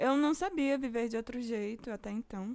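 With a normal speaking voice, a woman talks at a fairly high pitch. Her pace is moderate and her pitch variation ordinary. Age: 20s. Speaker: podcast host and music student. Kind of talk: personal monologue.

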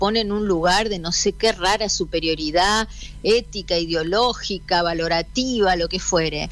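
Noticeable background noise sits behind a voice in a Rioplatense accent, moving at a moderate pace with ordinary pitch variation. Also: woman. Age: 40s. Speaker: daughter of a late comedian. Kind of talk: radio interview.

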